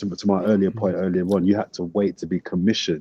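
Speaking at a fairly quick pace with a London accent, a man delivers monotone, flat intonation in a dark, mellow tone at a very deep, low pitch, the sound dry and close with no echo. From south London (Brixton). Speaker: sports broadcaster and journalist. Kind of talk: casual interview.

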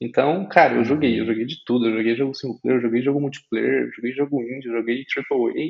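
This man has a normal speaking voice, medium in pitch, moving at a fairly quick pace with hardly any pauses and fairly even intonation. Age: 20s. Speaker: graphic designer and debut novelist. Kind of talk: casual interview.

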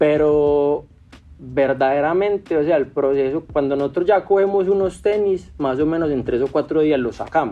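This man has a normal speaking voice with a fairly high pitch. He keeps a moderate pace and ordinary pitch variation. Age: 30s. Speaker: sneaker restoration entrepreneur. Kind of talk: interview.

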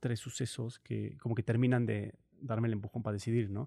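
A man's medium-pitched voice with a dark, mellow tone and ordinary pitch variation comes through dry and close, with no echo. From central Mexico (Morelia, León, Guanajuato). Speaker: traveler and performing artist. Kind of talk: interview. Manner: halting.

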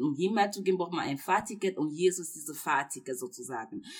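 A woman's voice at a fairly low pitch. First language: not German (speaking German). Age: 20s. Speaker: university student. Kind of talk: casual faith conversation. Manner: hesitant, many fillers.

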